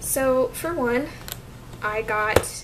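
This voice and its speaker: An American accent amid noticeable background noise and audible room echo. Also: woman. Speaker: vlogger. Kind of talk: casual vlog update.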